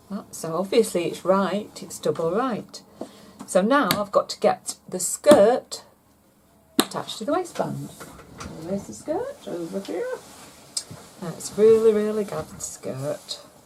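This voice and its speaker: A woman speaking at a fairly slow pace with long, frequent pauses and big swings in loudness, over noticeable background noise. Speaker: seamstress. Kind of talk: sewing tutorial talk to camera. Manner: casual, chatty.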